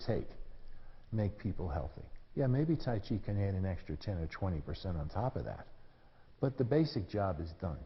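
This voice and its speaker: A somewhat breathy man's voice with an American accent, fairly low in pitch with very wide pitch swings, in audible room echo. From US Northeast, New York City. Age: 70s. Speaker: tai chi teacher. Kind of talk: lecture. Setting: stage with audience. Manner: casual.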